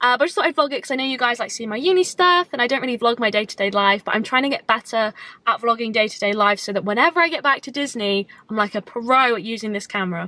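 Talking at a very fast pace, a woman has a bright, sharp tone in a dry sound with no echo. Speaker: vlogger. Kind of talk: casual vlog chat. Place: car. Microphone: phone near.

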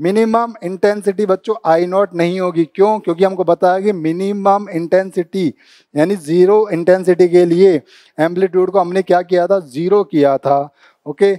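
A dark, mellow tone carries fairly even intonation at a fairly slow pace. The background is quiet. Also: man, high pitch for a man. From India. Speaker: physics teacher. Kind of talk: lecture. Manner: explanatory, repetitive teacher's pace. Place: studio. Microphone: lapel.

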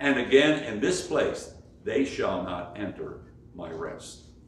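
Audible room echo surrounds speech delivered at a fairly slow pace. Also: man. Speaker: preacher. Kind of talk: sermon. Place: church. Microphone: camera far.

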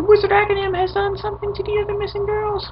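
A put-on character voice rattles along at a very fast pace, squeaky and extremely high in pitch. Its intonation is monotone and flat, with clear background noise. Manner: pleading, anxious.

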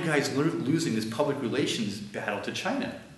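With audible room echo, a man with an American accent talks at a very fast pace. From United States. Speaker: author and lecturer; lecturer. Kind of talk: lecture. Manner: halting, many fillers. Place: classroom. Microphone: camera far.

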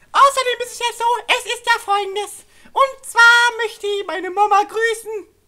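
A put-on character voice with a bright, sharp tone. It keeps a moderate pace and fairly even intonation. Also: man, extremely high pitch for a man.

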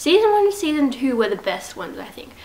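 A woman talks over a faint layer of noise in the background. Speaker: vlogger. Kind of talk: casual vlog chat. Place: home room. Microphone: phone near.

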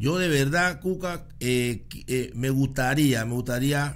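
The pace is very slow as a man talks. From Panama. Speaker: podcast host. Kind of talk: interview. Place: studio. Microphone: studio mic.

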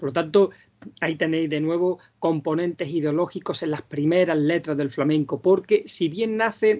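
At a moderate pace, a man talks with a high pitch. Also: ordinary pitch variation, quiet background. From Andalusia, Vega de Granada; Andalusia. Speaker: flamenco singer and researcher; speaker. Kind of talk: lecture. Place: home room. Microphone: video call.

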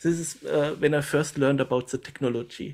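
A man with a fairly high pitch, ordinary pitch variation and an unremarkable speaking voice. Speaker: presenter. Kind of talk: lecture. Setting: video call.

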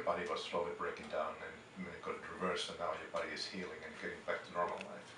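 A man at a very fast pace with hardly any pauses, plus audible room echo and noticeable background noise. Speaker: dentist. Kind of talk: interviewer in patient interview.

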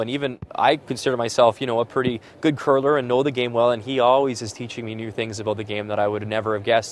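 Over light background noise, a man with a western Canadian accent talks at a very fast pace and medium pitch, his intonation fairly even and the sound dry with no echo. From Alberta, Canada. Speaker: sports broadcaster. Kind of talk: interview; TV sports hosting. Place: stadium. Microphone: lapel.

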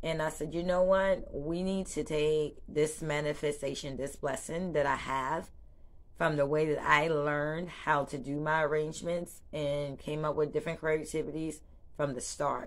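A woman in a Charleston accent speaks at a very deep, low pitch. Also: moderate pace. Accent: Southern US (Charleston). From US South, Charleston, South Carolina; South Carolina. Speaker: small business owner and vlogger. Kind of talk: casual vlog introduction; casual vlog chat. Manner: animated. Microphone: phone near.

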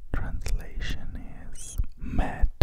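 Someone whispers at a very slow pace over loud background noise. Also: man. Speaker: language teacher. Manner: close-mic ASMR whisper. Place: home room. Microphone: handheld.

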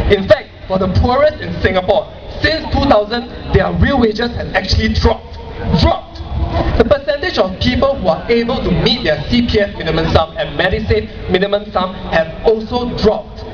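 The voice moves at a moderate pace while noticeable background noise is heard. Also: man. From Singapore. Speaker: blogger. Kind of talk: protest speech. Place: stage.

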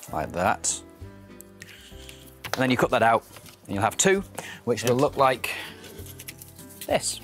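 A man's voice with very wide pitch swings and long, frequent pauses, faint music in the background. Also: fairly slow pace, dry sound with no echo. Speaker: puppeteer. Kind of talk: TV craft demonstration, guest explaining steps. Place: studio. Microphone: lapel.

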